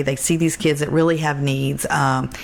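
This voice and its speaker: A woman talks at a fairly quick pace with a very deep, low pitch. Noticeable background noise is present. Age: 60s. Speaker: charity founder. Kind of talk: interview conversation.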